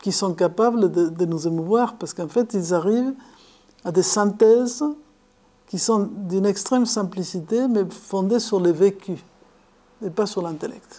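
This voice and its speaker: The tone is dark and mellow, the pace fairly slow, with long, frequent pauses and ordinary pitch variation. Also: woman, medium pitch for a woman. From Argentina, Buenos Aires. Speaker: philosophy lecturer and author. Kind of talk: lecture. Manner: halting, with repetitions.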